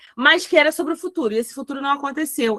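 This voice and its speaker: A woman's raised, projected voice, high in pitch and bright and sharp in tone, with a dry, close sound and no echo. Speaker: teacher. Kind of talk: lecture.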